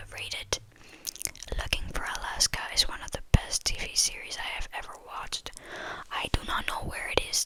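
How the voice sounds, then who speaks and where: A woman whispering in a relaxed tone at a moderate pace, with noticeable background noise. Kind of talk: whispered ramble about movies, casual talk to camera. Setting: quiet indoor recording for ASMR. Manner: whispered, soft, relaxed.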